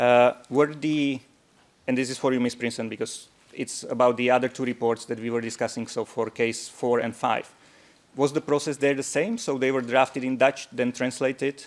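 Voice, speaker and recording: Speaking in a flat monotone at a moderate pace, a man with a medium pitch talks with a non-native accent. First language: not English. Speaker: defence counsel cross-examining witnesses. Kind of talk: courtroom cross-examination. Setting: courtroom.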